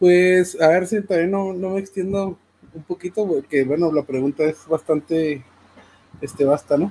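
In a dry, close sound with no echo, a man with a high pitch and a dark, mellow tone speaks at a fairly slow pace with fairly even intonation. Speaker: fighting game commentator and musician. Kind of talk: casual chat.

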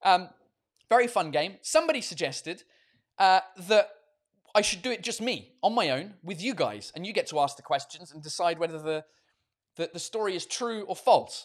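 In an animated tone, a man speaks at a high pitch with big swings in loudness and long, frequent pauses. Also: lively intonation, moderate pace. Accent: English. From England. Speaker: comedian and podcast host. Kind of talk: casual livestream chat. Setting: video call.

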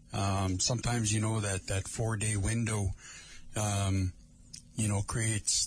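Music plays in the background as a man talks in a fairly low pitch. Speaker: community radio host. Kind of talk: live radio talk show. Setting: radio studio. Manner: casual.

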